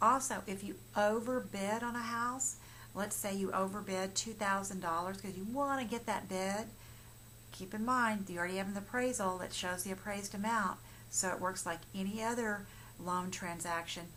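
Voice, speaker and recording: A woman with a bright, sharp tone talks at a moderate pace with fairly even intonation, and audible room echo surrounds her voice. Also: medium pitch for a woman. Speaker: mortgage professional. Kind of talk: informational explainer. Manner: halting, many fillers and restarts.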